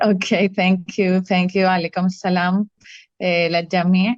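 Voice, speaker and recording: A woman's monotone, flat delivery at a fairly slow pace, with a non-native accent and a dry, close sound with no echo. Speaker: activist. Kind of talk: prepared speech read aloud.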